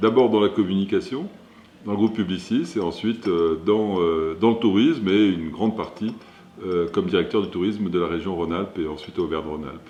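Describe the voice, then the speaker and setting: A man talking rather quickly, his pitch moving in an ordinary way. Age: 60s. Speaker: company founder and CEO. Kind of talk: interview. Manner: hesitant, many fillers.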